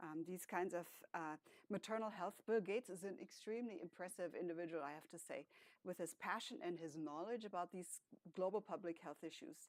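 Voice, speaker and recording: With a German accent and a fairly low pitch, a woman speaks at a fairly quick pace with ordinary pitch variation, the sound dry and close with no echo. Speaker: professor, speech and hearing researcher. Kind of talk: academic panel talk with slides.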